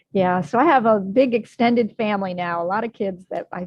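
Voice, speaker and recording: A woman's ordinary speaking voice at medium pitch, moderate pace and ordinary pitch variation. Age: 60s. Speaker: health and wellness coach. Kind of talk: interview.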